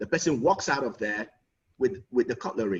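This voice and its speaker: Somewhat breathy, a man talks with a Nigerian accent. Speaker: lawyer and relationship consultant. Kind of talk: conference talk. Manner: animated.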